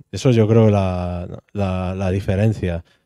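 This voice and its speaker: Against a quiet background, a man with a Spanish accent speaks at a fairly low pitch, with a dark, mellow tone and fairly even intonation. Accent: Peninsular Spanish. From Spain. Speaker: housing activist; speaker. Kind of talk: panel discussion. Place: hall. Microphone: handheld.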